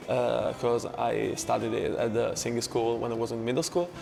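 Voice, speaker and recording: Amid noticeable background noise, a man with an Italian accent speaks at a fairly quick pace. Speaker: choir member. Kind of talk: interview answers. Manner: hesitant.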